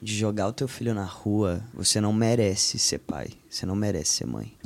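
This man's voice is fairly low in pitch. Noticeable noise runs in the background. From Minas Gerais, Brazil (Belo Horizonte). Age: 20s. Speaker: youtuber and actor. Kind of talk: casual chat.

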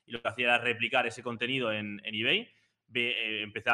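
A man speaks at a very fast pace. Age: 20s. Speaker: paid social media advertising expert. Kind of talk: interview on a live stream.

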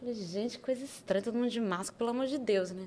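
Speaking at a very fast pace, a woman delivers her words. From Brazil, Juiz de Fora (Zona da Mata, Minas Gerais). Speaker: tech association coordinator. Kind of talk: casual interview.

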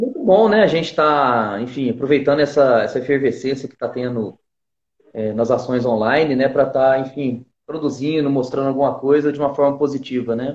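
This man has a plain, everyday voice, fairly high in pitch. He talks at a fairly quick pace. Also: ordinary pitch variation. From southern Minas Gerais, Brazil. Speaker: flautist. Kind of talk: interview.

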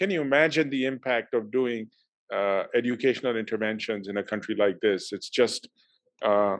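The background is quiet as a man talks. His pitch is medium and his pace moderate. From Pakistan. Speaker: university leader. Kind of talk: interview. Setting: video call. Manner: hesitant, many fillers.

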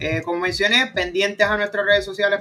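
A man's raised, projected voice, high in pitch, at a very fast pace over noticeable background noise. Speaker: football podcast host. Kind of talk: casual chat.

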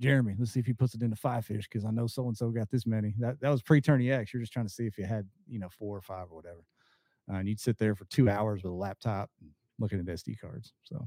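Speaking very fast at a medium pitch with ordinary pitch variation, a man has a dark, mellow tone on a dry, close, echo-free, very clean recording with a silent background. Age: 50s. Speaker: kayak bass fishing angler and content creator. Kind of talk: casual chat.

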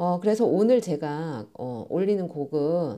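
Over a quiet background, a woman with a fairly low pitch and a dark, mellow tone speaks at a very slow pace, her pitch swinging very widely. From South Korea, Masan. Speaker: podcast host. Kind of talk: casual monologue. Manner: animated.

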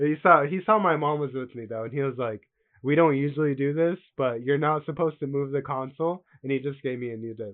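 A man talks at a fairly quick pace in a normal speaking voice, with a fairly high pitch and ordinary pitch variation. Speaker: gaming podcast co-host. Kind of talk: casual chat.

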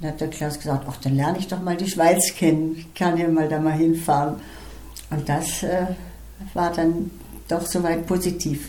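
In a room with audible echo, a woman with a fairly low pitch speaks at a moderate pace in a monotone, flat intonation, leaving long, frequent pauses. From Estonia, German-speaking minority, then Germany. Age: 80s+. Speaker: retired flute teacher. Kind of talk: life story interview.

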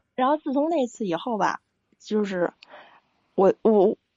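A woman speaks in a Beijing accent at a moderate pace. Her pitch swings very widely. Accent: Beijing Mandarin. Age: 40s. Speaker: caller. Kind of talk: call-in advice conversation. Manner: halting.

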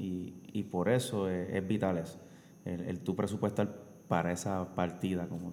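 A man's voice comes through with a very deep, low pitch. He keeps a moderate pace. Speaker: podcast guest, host's husband. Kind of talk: casual chat. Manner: halting.

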